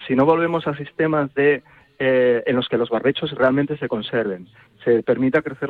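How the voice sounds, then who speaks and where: A man has a plain, everyday voice at a medium pitch. He talks at a fairly quick pace with ordinary pitch variation. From Toro, Zamora, Spain. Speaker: university researcher. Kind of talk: radio interview.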